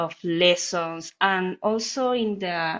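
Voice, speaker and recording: Very slowly, a woman talks in a Spanish accent. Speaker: musician with focal dystonia, prospective participant. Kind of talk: casual self-introduction. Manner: halting, many fillers.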